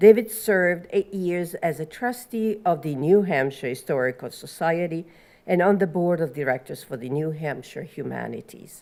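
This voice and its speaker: A woman with an Italian accent, fairly low in pitch, very wide pitch swings, moderate pace. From Italy. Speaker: panel moderator. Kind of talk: panel introduction.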